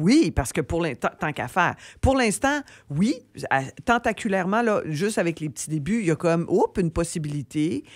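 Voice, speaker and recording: On a very clean recording with a silent background and a dry, close sound with no echo, a woman with a Quebec accent swings very widely in pitch. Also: fairly low pitch for a woman, moderate pace. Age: 60s. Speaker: comedian and TV host. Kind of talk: radio interview. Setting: radio studio.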